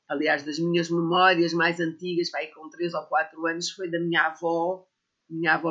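A woman with a fairly low voice talks at a moderate speed, her intonation monotone and flat. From Portugal, Sintra area. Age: 60s. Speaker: herbalist and botanical author. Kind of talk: casual interview.

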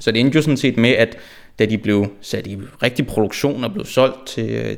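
Speaking at a medium pitch, a man talks at a fairly slow pace. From Denmark, Frederiksberg (Copenhagen). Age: 20s. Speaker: football fan. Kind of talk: interview. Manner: halting, many repetitions and fillers.

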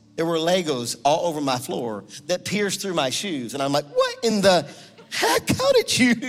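A man's high-pitched voice rises and falls with lively intonation while noticeable background noise carries on. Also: moderate pace. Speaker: guest preacher and prayer movement leader. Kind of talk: sermon with fervent, pleading prayer at the close. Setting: church with congregation. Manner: intense, urgent, pleading, passionate.

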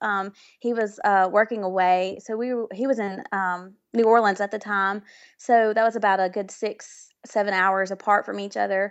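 In a Southern US accent, a woman speaks at a medium pitch and moderate pace with monotone, flat intonation. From Mississippi, US South. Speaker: music therapist. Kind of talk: interview chat. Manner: halting, filler words.

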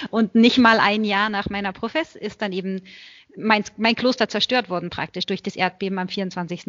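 A normal speaking voice from a woman, medium pitch, fairly slow pace. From Germany, Berlin. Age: 30s. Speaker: Benedictine nun. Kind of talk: interview.

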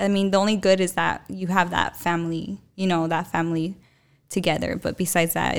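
A woman with a plain, everyday voice, fairly low in pitch and fairly even in intonation, at a fairly quick pace, on a very clean recording with a silent background. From Tucson, Arizona. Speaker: TikTok influencer. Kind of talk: casual chat. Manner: laughs often, chatty.

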